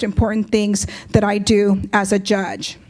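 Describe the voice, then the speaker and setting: A woman is speaking. Her pace is fairly slow. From Compton, California. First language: Spanish. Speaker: justice of the peace. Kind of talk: public speech.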